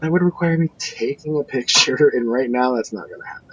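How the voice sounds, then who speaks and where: A soft-spoken man with lively intonation at a moderate pace, amid noticeable background noise. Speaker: podcast host. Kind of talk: casual chat.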